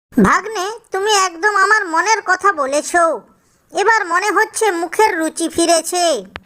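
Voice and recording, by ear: Someone uses a cartoonish character voice with an extremely high pitch at a fairly slow pace.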